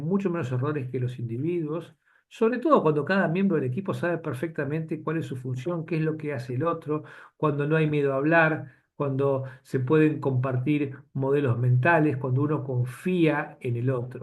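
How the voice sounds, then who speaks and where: A man's somewhat breathy, fairly high voice at a moderate pace, with ordinary pitch variation and audible room echo. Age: 60s. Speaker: physician lecturer. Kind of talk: lecture. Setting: webinar video call. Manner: halting.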